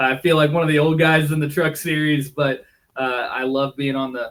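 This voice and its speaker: With an American accent, a man speaks quickly in an unremarkable speaking voice, his fairly high pitch held to fairly even intonation. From Missouri, US Midwest. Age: 30s. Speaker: race car driver and team owner. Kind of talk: casual interview.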